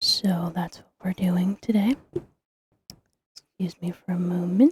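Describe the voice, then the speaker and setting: The speaker is soft-spoken. The words come at a fairly slow pace. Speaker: ASMR creator. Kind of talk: ASMR name reading.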